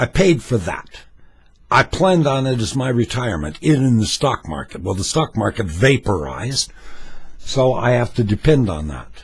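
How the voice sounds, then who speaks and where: A man with an American accent talks at a moderate pace and medium pitch, with vocal fry. His pitch swings very widely. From US West Coast, Los Angeles. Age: 70s. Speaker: political vlogger, former talk show host. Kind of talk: opinion rant monologue.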